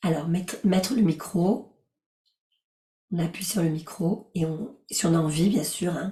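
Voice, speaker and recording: A woman speaks at a fairly slow pace with long, frequent pauses and ordinary pitch variation. Her tone is gentle, calm, dark and mellow, and somewhat breathy. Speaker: life coach and yoga teacher. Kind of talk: guided relaxation session with group discussion.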